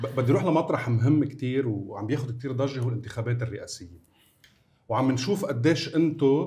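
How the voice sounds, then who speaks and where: This man's voice is somewhat breathy, with ordinary pitch variation. He keeps a moderate pace. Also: medium pitch for a man. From Lebanon, north (Bsharri); Lebanon. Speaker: talk show host. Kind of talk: talk show interviewing. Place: studio. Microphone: lapel.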